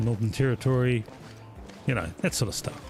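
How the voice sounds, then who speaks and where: A man talks at a fairly quick pace with a New Zealand accent. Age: old. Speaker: gaming streamer. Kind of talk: live gameplay stream chat. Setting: live stream. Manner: casual, chatty.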